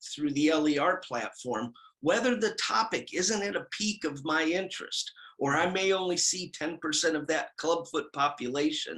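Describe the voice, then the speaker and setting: High male voice, bright and sharp in tone, at a moderate pace with ordinary pitch variation. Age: 60s. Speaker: certified prosthetist, orthotist and pedorthist. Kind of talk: interview testimonial.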